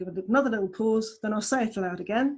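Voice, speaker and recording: The speaker has a southeast English accent. The voice is somewhat breathy. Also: woman. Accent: southeast England English; aspirates p. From southeast England. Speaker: language tutor. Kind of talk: tutorial.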